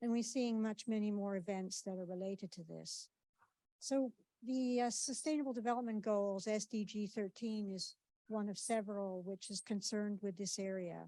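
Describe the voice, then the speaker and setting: Dark and mellow in tone, a woman speaks at a moderate pace with fairly even intonation. The sound is dry and close, with no echo. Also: medium pitch for a woman. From Canada. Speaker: academic researcher. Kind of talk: conference presentation. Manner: hesitant, many fillers.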